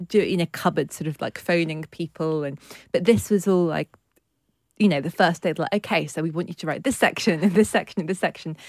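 A woman's fairly low voice, a plain, everyday voice with ordinary pitch variation, comes through a very clean recording with a silent background and a dry, close sound with no echo. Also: fairly quick pace. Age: 30s. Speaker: writer and columnist. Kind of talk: casual chat.

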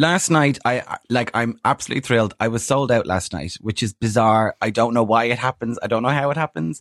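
With an Irish accent and hardly any pauses, a man speaks at a fairly quick pace in a medium pitch with ordinary pitch variation, recorded dry and close with no echo. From Ireland. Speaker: comedian. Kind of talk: casual chat. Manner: animated.

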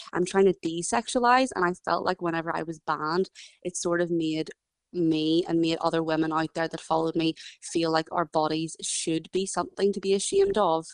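In a Northern Irish accent, a woman speaks at a fairly quick pace with a fairly low pitch. Her intonation is fairly even, and the sound is dry and close with no echo. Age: 20s. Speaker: ceramic artist. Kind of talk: interview.

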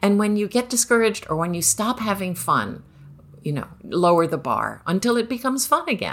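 With vocal fry and lively intonation, a woman talks at a fairly quick pace and a medium pitch. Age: 60s. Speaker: novelist and Zen Buddhist priest. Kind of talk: casual interview. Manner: frequent fillers and hesitations.

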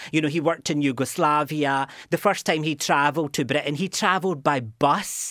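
On a very clean recording with a silent background, a man talks at a fairly quick pace in a fairly high pitch, his tone bright and sharp and his intonation fairly even. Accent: Glaswegian. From Scotland, Glasgow. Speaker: university lecturer. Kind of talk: radio interview. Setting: studio. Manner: halting, many repetitions.

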